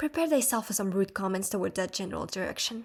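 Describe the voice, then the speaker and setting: A put-on, female-sounding character voice at a medium pitch, hissing at a very fast pace. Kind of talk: archaic, mock-formal.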